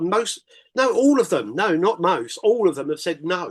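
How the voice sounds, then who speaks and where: A man with an English accent at a moderate pace, his pitch swinging very widely. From Britain. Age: 50s. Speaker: English teacher and record label interviewer. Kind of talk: casual chat. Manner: halting.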